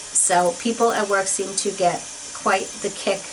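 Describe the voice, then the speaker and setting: With audible room echo and noticeable background noise, a woman speaks in an animated tone at a fairly slow pace. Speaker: beauty vlogger. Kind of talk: casual chat.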